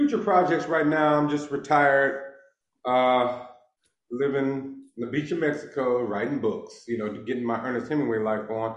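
A man speaks with an American accent and ordinary pitch variation. Audible room echo surrounds the voice. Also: fairly high pitch for a man, moderate pace. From Los Angeles, Inglewood. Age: 50s. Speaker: author and former criminal. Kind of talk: casual interview.

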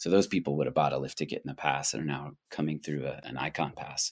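A man's very deep, low voice with an American accent, in a dry, close sound with no echo. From Colorado, US. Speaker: ski resort executive. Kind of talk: interview.

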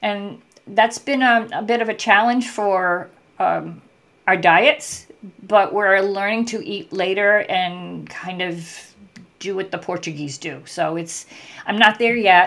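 At a very slow pace, a woman speaks at a medium pitch with ordinary pitch variation. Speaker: writer. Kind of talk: interview.

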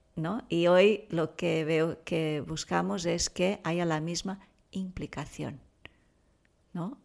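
Soft-spoken and very slow, a woman with a very deep, low pitch speaks in a Portuguese accent on a very clean recording with a silent background. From Brazil. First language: Portuguese (speaking Spanish). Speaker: parenting expert and author. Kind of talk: interview. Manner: calm, soft-spoken.

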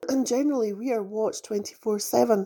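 A woman with a British accent speaks in a fairly high pitch with a dark, mellow tone and fairly even intonation, on a very clean recording with a silent background. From UK. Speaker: spiritual podcast host. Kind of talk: spiritual monologue.

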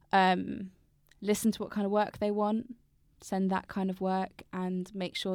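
Speaking at a fairly slow pace, a woman with a medium pitch talks in a southern English accent. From Brighton, southern England. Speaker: poet. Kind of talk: casual interview chat.

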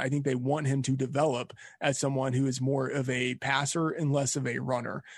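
A man with an American accent speaks at a moderate pace in a fairly high, somewhat breathy voice against a quiet background. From Texas. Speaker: fantasy sports editor. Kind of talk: casual interview.

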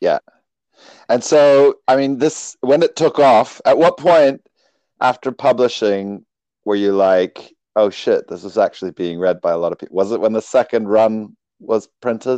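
Over a quiet background, a man with a dark, mellow tone and lively intonation talks at a moderate pace, the sound dry and close with no echo. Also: medium pitch for a man. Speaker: podcast host. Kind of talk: interview. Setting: video call. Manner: loud.

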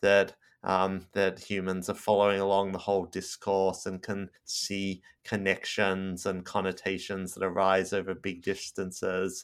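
A speaker with an Australian accent is heard in a very clean recording with a silent background. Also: man. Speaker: professor. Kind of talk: interview.

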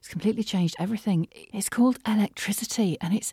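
A woman's medium-pitched, somewhat breathy, dark, mellow voice at a fairly quick pace, recorded very cleanly against a silent background with a dry, close sound and no echo. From northern England. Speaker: voiceover artist. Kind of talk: casual solo podcast monologue. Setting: studio. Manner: chatty, laughs often.

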